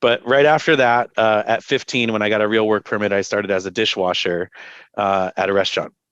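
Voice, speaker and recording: Over a quiet background, a man speaks at a very fast pace with a dry, close sound and no echo. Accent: American. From Southern California. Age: 40s. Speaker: climate policy advocate. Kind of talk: casual interview chat. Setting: video call. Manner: hesitant, many fillers.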